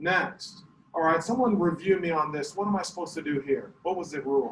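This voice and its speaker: Over noticeable background noise, a man speaks loud with a high pitch and ordinary pitch variation. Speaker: math teacher. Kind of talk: classroom lesson. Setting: classroom. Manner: animated.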